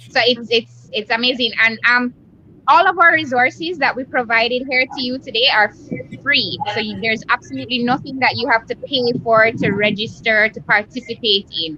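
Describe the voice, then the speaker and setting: In a Jamaican accent, a woman with a high pitch speaks at a moderate pace with ordinary pitch variation amid noticeable background noise. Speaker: hotel association representative. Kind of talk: interview on video chat. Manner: enthusiastic.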